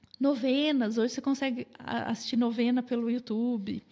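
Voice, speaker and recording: A woman speaks fairly quickly with a fairly high pitch and fairly even intonation. Her tone is dark and mellow. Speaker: nutritionist. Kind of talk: podcast interview. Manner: fast.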